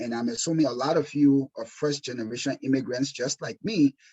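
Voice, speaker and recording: With an African accent, a man of fairly high pitch speaks at a fairly quick pace. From Liberia, West Africa. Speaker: insurance exam prep instructor. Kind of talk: webinar presentation. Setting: webinar. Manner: animated.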